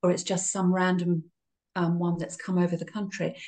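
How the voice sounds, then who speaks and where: Somewhat breathy, a woman's medium-pitched voice carries a dark, mellow tone. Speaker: beekeeper. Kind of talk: interview.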